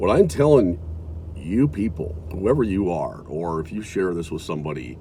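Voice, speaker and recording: A man speaks at a moderate pace with lively intonation and a very deep, low pitch, his tone dark and mellow and somewhat breathy, with audible room echo around him. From US Midwest (South Dakota). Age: 60s. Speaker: video blogger. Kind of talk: casual monologue. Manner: halting.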